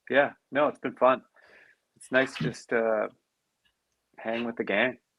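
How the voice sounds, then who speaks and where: A man with a slight Canadian accent speaks at a fairly slow pace. His intonation is fairly even, with big swings in loudness. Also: medium pitch for a man. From Canada. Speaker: crypto community member. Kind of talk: casual chat.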